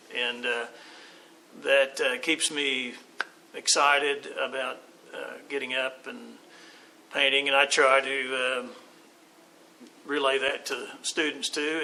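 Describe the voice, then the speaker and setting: This man talks fairly slowly while noticeable background noise runs behind him. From Oklahoma City. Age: 60s. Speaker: artist and art teacher. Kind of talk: interview. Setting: art walk event. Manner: halting, many fillers.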